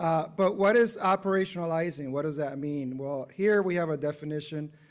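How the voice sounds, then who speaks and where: This is a normal speaking voice from a man with fairly high pitch. He keeps a moderate pace and ordinary pitch variation. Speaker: civil rights official, guest speaker. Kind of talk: presentation.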